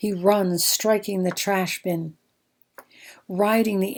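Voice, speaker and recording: A woman with an American accent and a plain, everyday voice, at a fairly slow pace with fairly even intonation. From American Midwest. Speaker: poet. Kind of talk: poetry reading.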